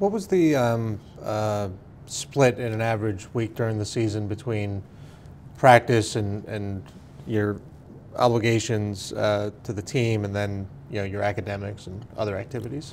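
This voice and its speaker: A man talks at a moderate pace with fairly even intonation and a fairly low pitch. Light background noise is present. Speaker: oral history interviewer. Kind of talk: interview questions. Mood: calm, polite, hesitant fillers. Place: meeting room.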